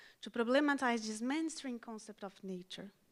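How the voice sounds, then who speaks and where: A woman speaks with a non-native accent at a high pitch and a moderate pace. Her intonation is lively. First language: not English. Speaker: education and outreach specialist. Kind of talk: conference speech. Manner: formal.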